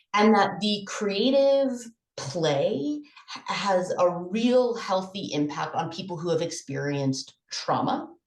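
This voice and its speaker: Audible room echo surrounds a woman who talks at a fairly slow pace, her fairly low pitch moving in very wide swings. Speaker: conference presenter. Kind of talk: conference presentation.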